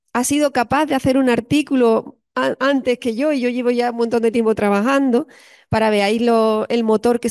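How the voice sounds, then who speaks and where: A woman speaks in a normal speaking voice at a moderate pace, her pitch fairly high and her intonation fairly even, against a quiet background. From Spain, Andalusia (Cádiz); Andalusia, Spain. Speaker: psychologist and university lecturer; university lecturer. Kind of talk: lecture. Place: classroom.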